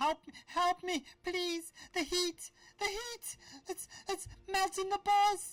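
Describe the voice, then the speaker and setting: An extremely high-pitched put-on character voice at a fairly slow pace. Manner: pleading, desperate.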